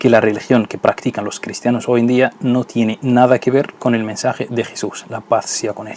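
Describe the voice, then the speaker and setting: A man with a non-native accent, medium pitch and monotone, flat intonation at a moderate pace, with noticeable background noise. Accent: foreign accent in Spanish. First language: not Spanish (speaking Spanish). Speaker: Islamic religious educator. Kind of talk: educational video lecture.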